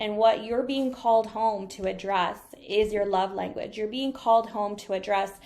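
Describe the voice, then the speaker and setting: The speaker has a normal speaking voice with fairly even intonation. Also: woman. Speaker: energy reader and spiritual coach. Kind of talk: live-streamed coaching talk. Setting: live stream on laptop.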